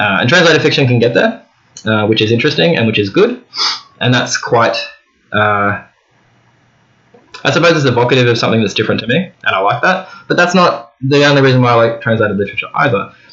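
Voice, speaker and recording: Speaking very fast, a man with an Australian accent uses lively intonation at a medium pitch, with long, frequent pauses. His loudness stays very even throughout. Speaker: book vlogger. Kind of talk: casual monologue to camera. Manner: halting, with fillers.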